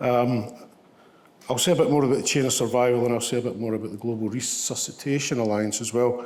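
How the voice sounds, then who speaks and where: Over noticeable background noise and audible room echo, a man with a west of Scotland accent talks at a very fast pace with fairly even intonation. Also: medium pitch for a man. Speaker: ambulance service medical leader. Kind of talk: lecture. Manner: halting, many fillers.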